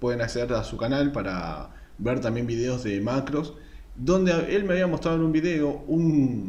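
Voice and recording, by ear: A man talks at a moderate pace and a medium pitch. His tone is slightly mellow. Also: ordinary pitch variation.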